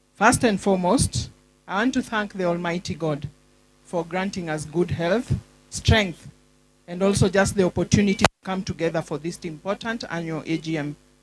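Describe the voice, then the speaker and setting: A woman with a fairly low pitch speaks at a moderate pace with ordinary pitch variation while music plays in the background. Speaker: school board chair. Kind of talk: formal speech. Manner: formal.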